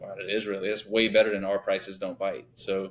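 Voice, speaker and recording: A man with a slight Louisiana accent speaks at a fairly quick pace against noticeable background noise. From Louisiana (born Thibodaux, raised Shreveport). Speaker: business owner, company founder. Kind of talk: interview conversation. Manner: casual, many filler words.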